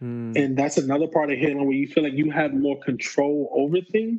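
A man talks with a New York accent. His pitch is fairly high. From New York, the Bronx. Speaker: PhD student. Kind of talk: casual interview. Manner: halting, repeats words.

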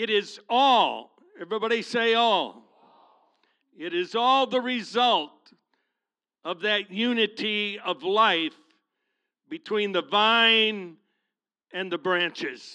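A man with a high pitch and a bright, sharp tone uses a raised, projected voice, talking very slowly with long, frequent pauses and ordinary pitch variation. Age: 70s. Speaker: guest preacher. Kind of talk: sermon. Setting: church. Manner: animated.

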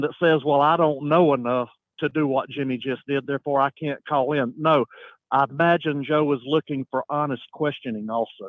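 A man with a fairly high pitch talks at a fairly quick pace in an ordinary speaking voice, his intonation fairly even. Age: 50s. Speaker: regular caller, self-taught listener. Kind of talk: casual chat. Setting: phone call.

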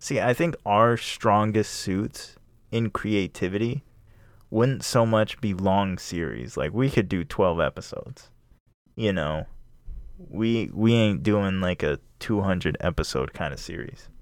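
Over a silent background in a very clean recording, a man with a plain, everyday voice talks at a fairly slow pace, his fairly low pitch moving with lively intonation. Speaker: podcast host. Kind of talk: casual chat.

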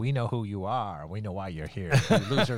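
At a fairly quick pace, a speaker delivers a raspy, put-on character voice. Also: man, fairly low pitch for a man. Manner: menacing.

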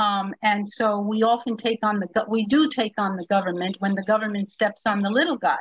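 This woman's fairly high voice is somewhat breathy and has ordinary pitch variation. She barely pauses, and the sound is dry and close with no echo. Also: fairly quick pace. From Puerto Rico. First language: Spanish. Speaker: attorney and civil liberties leader. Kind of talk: panel discussion. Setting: video call.

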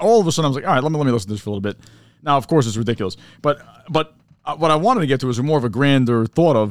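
A very fast-talking man with a fairly high pitch and lively intonation. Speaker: podcast co-host. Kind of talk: casual banter. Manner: animated, swears often.

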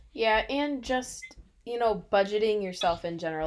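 A woman with a plain, everyday voice and an American accent, lively intonation and a moderate pace, on a very clean recording with a silent background. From US Midwest, Illinois. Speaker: podcast co-host. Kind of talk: casual chat.

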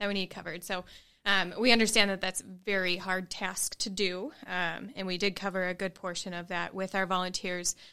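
A woman with an American accent speaks at a moderate pace in a bright, sharp tone with monotone, flat intonation, in a very clean recording with a silent background. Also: medium pitch for a woman. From US Midwest. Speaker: nonprofit development manager. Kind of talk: casual chat.

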